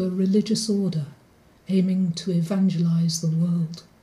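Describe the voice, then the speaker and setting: Somewhat breathy and medium-pitched, a woman speaks fairly slowly in a dark, mellow tone. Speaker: poet. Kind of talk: poem performed. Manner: deadpan, dry, wry.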